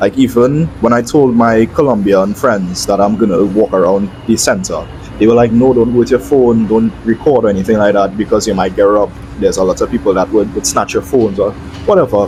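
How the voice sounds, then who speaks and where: Fairly quick, very even in loudness, a man's fairly low voice over noticeable background noise. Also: ordinary pitch variation. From Trinidad. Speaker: travel vlogger. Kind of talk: voiceover narration.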